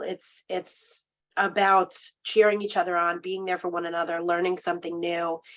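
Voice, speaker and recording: A woman's fairly low-pitched voice with monotone, flat intonation. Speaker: recreation program coordinator and coach. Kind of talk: conference presentation. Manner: hesitant with fillers.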